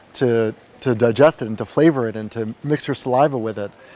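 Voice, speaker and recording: Ordinary pitch variation marks this man's speech in a New York accent. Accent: New York American. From US, New York. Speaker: meditation retreat participant. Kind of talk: testimony. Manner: fast.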